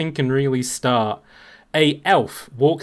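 A natural voice reading aloud

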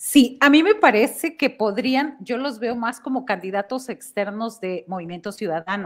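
Over a quiet background, a woman with an unremarkable speaking voice and a fairly high pitch talks at a fairly slow pace, with lively intonation and big swings in loudness. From Mexico. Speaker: journalist; political commentator panelist. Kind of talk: panel discussion. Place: home room. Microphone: headset.

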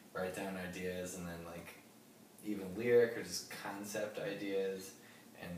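A man speaks with fairly even intonation. The room echo is audible and there is noticeable background noise. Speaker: interviewee. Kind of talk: interview answer. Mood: relaxed, casual. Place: home room. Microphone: camera far.

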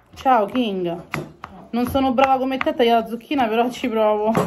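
A woman's high-pitched voice at a fairly slow pace, with noticeable background noise. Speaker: home cooking vlogger. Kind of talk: casual vlog chat. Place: kitchen. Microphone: phone near.

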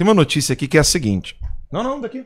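A man with lively intonation. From Brazil. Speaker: commentator. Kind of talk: casual chat. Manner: animated. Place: studio. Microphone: studio mic.

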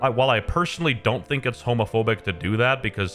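Very fast speech from a man with ordinary pitch variation, over faint music in the background. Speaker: video commentator. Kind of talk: commentary. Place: home room.

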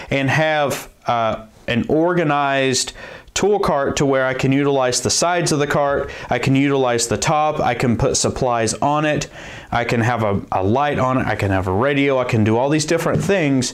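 A man talks at a moderate pace with ordinary pitch variation and very even loudness. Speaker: DIY tool channel host. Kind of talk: tutorial intro, casual explanation. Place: workshop.

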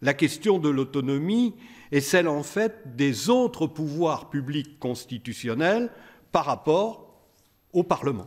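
A man speaks at a very slow pace with a fairly high pitch and very wide pitch swings. The background is quiet. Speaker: law professor. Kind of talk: conference speech. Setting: stage with audience. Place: hall. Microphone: podium.

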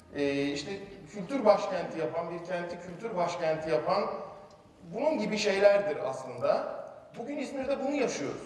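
A man speaks at a moderate pace with lively intonation. Audible room echo surrounds his voice. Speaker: speaker. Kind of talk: public talk to an audience. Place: stage.

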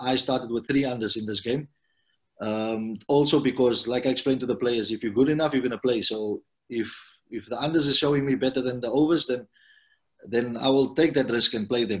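The speaker is a man with fairly even intonation. The background is quiet. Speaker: football head coach. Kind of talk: interview answer. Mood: calm, pleased after win. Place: home room. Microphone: video call.

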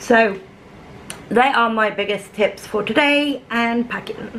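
Against light background noise, a woman talks in a fairly high voice with ordinary pitch variation. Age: 30s. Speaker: vlogger. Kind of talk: casual vlog chat. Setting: at home, camera on a stand. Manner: animated, laughing often. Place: kitchen. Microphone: phone near.

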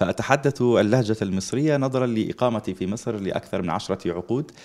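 A man speaks with an Egyptian accent at a medium pitch. His pitch varies in an ordinary way. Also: moderate pace. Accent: speaks Egyptian Arabic fluently. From Libya. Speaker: Islamic preacher and teacher. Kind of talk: religious TV interview.

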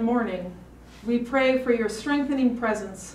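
Audible room echo surrounds a woman's high-pitched voice. She speaks at a moderate pace. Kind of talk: prayer. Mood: solemn, calm. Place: hall. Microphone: podium.

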